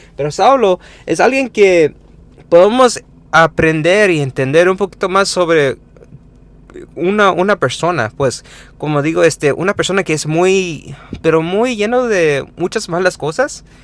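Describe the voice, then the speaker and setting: With a non-native accent, a man speaks at a fairly slow pace in a high pitch with lively intonation and long, frequent pauses. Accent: non-native Spanish, self-described. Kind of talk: informal Bible teaching with scripture reading. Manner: halting, many fillers and self-corrections.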